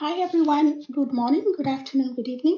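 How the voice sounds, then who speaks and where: This woman's voice sits high. The pitch rises and falls a normal amount. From Kenya. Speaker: speaker in online citizen forum. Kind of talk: public forum speech.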